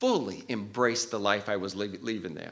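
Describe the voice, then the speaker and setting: A man with a Maine accent speaks at a moderate pace. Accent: Maine, New England. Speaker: cardiovascular tech and respiratory therapist. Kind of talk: personal storytelling to live audience.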